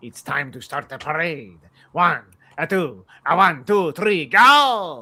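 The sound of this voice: A put-on character voice at a middle pitch. It moves at a fairly slow pace.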